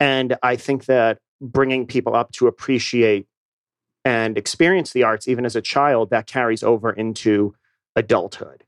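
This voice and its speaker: A man's ordinary speaking voice, medium in pitch, at a moderate pace with fairly even intonation and a dry, close sound with no echo. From New England, Boston. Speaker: theater company director. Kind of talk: radio interview. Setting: studio.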